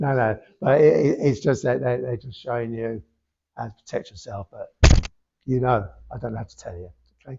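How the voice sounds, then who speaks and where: A man of medium pitch talks at a fairly quick pace, somewhat breathy, with long, frequent pauses and big swings in loudness. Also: ordinary pitch variation. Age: 70s. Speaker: spiritualist medium. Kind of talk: mediumship demonstration. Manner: halting.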